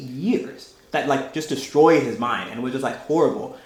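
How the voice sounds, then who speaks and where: A man's fairly high voice moves at a moderate pace, and audible room echo hangs around it. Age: young. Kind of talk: talk with discussion. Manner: casual, halting.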